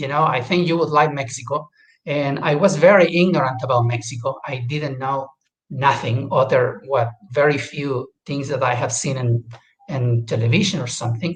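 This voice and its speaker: Delivery comes at a moderate pace. Pitch varies in an ordinary way, and the voice has a somewhat breathy quality. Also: man, fairly high pitch for a man. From Chile. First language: Spanish. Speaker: guest speaker. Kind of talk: casual talk. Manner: halting.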